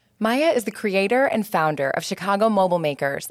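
A woman with a plain, everyday voice, medium pitch, lively intonation and a fairly quick pace, on a very clean recording with a silent background. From Metro Detroit, US Midwest. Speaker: podcast host, former interior designer. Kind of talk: scripted narration.

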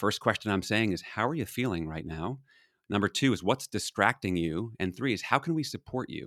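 A man talks fairly quickly in a plain, everyday voice, fairly low in pitch with lively intonation, the sound dry and close with no echo. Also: very clean recording, silent background. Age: 50s. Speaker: leadership consultant and author. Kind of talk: casual interview.

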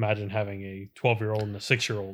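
Talking at a very fast pace, a man with an American accent has a fairly low pitch. The recording is very clean, with a silent background. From Philadelphia suburbs, US. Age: 30s. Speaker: carpenter. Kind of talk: casual chat.

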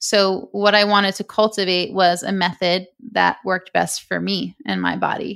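A woman at a moderate pace, in a very clean recording with a silent background. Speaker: breathwork coach. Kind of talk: interview with guided breathing exercise.

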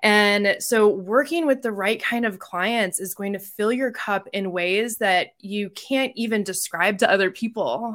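A woman with an American accent and an unremarkable speaking voice talks at a fairly slow pace, with hardly any pauses. Her pitch is medium with ordinary pitch variation, on a very clean recording with a silent background. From Colorado. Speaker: clinical psychologist. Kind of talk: interview.

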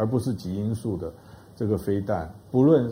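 A man's medium-pitched voice comes across somewhat breathy with a dark, mellow tone. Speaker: professor of strategic studies. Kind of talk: panel discussion on talk show.

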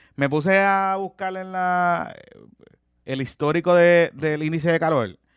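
Fairly slow, fairly even speech from a man with a high pitch. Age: 30s. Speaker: podcast co-host. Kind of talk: casual chat.

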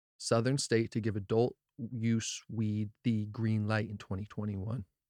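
A man with an American accent and an ordinary speaking voice, medium pitch and moderate pace, in a very clean recording with a silent background and a dry, close sound with no echo. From New Jersey. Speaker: cannabis podcast host. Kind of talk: casual podcast monologue; reading articles aloud.

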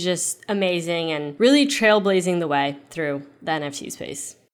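The recording is very clean, with a silent background. It is an ordinary speaking voice with ordinary pitch variation. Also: woman. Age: 20s. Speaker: NFT collector and social media marketer. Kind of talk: casual interview.

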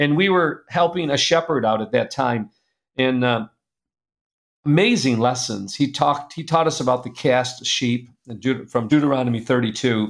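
Speaking at a moderate pace, a man uses a plain, everyday voice at medium pitch with ordinary pitch variation. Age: 60s. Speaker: publisher and speaker. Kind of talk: casual interview.

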